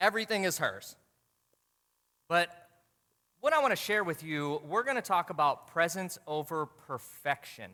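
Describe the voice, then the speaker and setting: An animated man with an American accent talks in a high pitch with a bright, sharp tone and lively intonation. He leaves long, frequent pauses. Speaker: motivational speaker. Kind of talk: keynote talk. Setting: stage with audience. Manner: fast.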